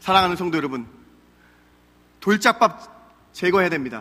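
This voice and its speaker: Bright and sharp in tone, a man's raised, projected voice moves through very wide pitch swings. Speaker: pastor. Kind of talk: sermon. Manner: fast.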